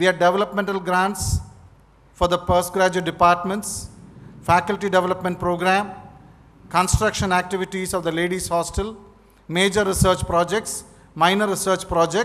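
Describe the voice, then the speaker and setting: Speaking at a moderate pace with long, frequent pauses, a man uses a high pitch and monotone, flat intonation. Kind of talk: formal speech. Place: hall. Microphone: podium.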